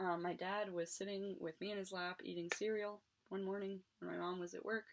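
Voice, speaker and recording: With an unremarkable speaking voice, a woman talks in an American accent at a moderate pace. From West Virginia, Morgan County. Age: 20s. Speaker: YouTuber. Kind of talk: casual storytelling monologue.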